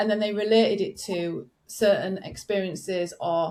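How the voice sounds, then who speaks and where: Here is a woman with a northern English accent. Her pitch varies in an ordinary way. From northern England. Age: 40s. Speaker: business coach. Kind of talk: podcast interview. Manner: animated.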